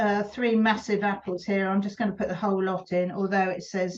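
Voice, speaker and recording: Here a woman talks at a moderate pace. Her intonation is monotone and flat. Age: 70s. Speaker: preserving teacher. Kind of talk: cooking tutorial. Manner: casual, chatty.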